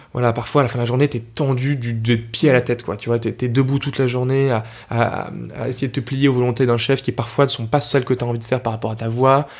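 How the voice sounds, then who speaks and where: A man at a medium pitch, very fast pace and monotone, flat intonation. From Paris region, France (Argenteuil). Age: 20s. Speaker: opera tenor singer. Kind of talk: casual interview chat. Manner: casual, slangy with many hesitations.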